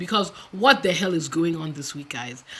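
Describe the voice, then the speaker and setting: The woman's tone is animated. She keeps a moderate pace. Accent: Nigerian. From Nigeria. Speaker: YouTube commentator. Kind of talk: live stream commentary. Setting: home live stream on camera.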